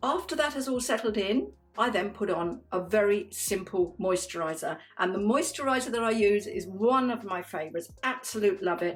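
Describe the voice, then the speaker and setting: With music in the background, a woman at a medium pitch speaks with lively intonation. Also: moderate pace. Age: 60s. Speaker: beauty vlogger. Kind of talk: makeup tutorial. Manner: chatty, warm.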